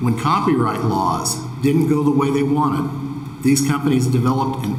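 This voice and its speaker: A man's fairly high voice with an American accent, fairly even intonation and a moderate pace, amid noticeable background noise and audible room echo. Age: 60s. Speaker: farmer. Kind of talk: testimony. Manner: formal.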